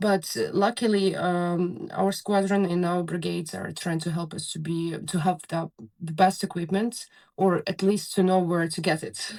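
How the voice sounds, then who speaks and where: Fairly low in pitch, this woman's voice carries a Ukrainian accent. The intonation is fairly even. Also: moderate pace. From Ukraine. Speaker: soldier, drone pilot. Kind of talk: interview. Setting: bunker on the front lines, remote call. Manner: halting, many fillers.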